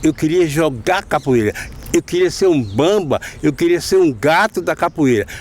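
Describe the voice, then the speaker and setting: A man speaks at a fairly slow pace in a fairly high pitch, with noticeable background noise behind him. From Bahia, Recôncavo (Santo Amaro). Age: 60s. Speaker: capoeira master. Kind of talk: interview.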